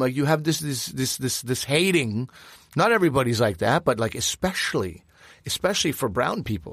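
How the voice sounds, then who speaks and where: On a very clean recording with a silent background, a man speaks at a fairly quick pace with vocal fry and very wide pitch swings. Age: 40s. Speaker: podcast co-host, former cook. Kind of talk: casual chat.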